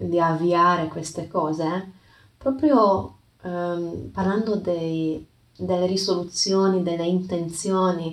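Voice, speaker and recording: The speaker has a non-native accent and a calm, gentle tone, talking at a very slow pace. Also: woman. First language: not Italian (speaking Italian). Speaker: yoga teacher and podcast host. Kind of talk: reflective talk with storytelling. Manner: halting, with hesitations and repeats.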